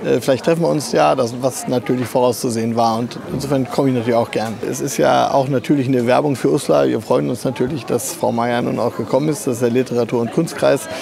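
Over clear background noise, a man speaks fast with few pauses in a medium-pitched voice with vocal fry and fairly even intonation.

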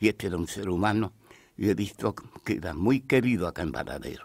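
A man speaks with lively intonation at a moderate pace, captured in a very clean recording against a silent background. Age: old. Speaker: friend of an accident victim. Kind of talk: radio interview. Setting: radio studio.

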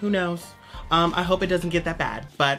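With faint music in the background, a woman talks. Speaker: vlogger. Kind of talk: comedic casual vlog chat. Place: home room. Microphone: camera far.

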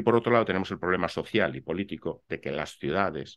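Against a quiet background, a man talks very fast with a very deep, low pitch and vocal fry. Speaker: architect and real estate investor; interview guest. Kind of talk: interview. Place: home room.

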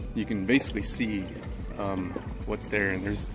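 Moderate-paced speech, dry with no echo, with music in the background. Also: man. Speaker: angler vlogger. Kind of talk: casual vlog chat. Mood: relaxed, low expectations. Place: waterside. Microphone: phone near.

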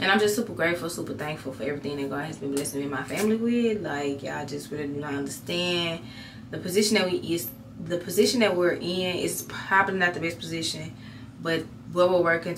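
Very fast speech from a woman, with noticeable background noise underneath. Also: fairly low pitch for a woman. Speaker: vlogger. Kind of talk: casual vlog chat. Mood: grateful, reflective. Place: bathroom. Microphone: phone near.

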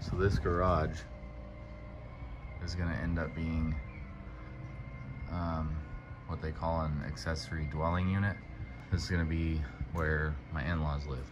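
A man speaks fairly slowly in a very deep, low voice with fairly even intonation and long, frequent pauses. Music plays in the background. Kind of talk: casual vlog chat. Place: garage. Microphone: phone near.

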